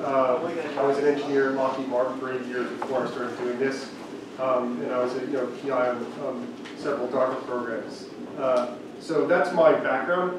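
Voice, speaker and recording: Amid strong room echo and noticeable background noise, a man speaks at a moderate pace with fairly even intonation. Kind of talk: presentation talk. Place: meeting room.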